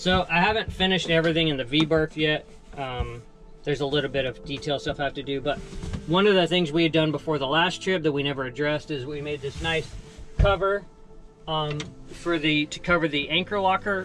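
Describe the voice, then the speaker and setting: Over faint music in the background, the speaker uses ordinary pitch variation. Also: man, fairly quick pace. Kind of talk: casual boat tour. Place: boat. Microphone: phone near.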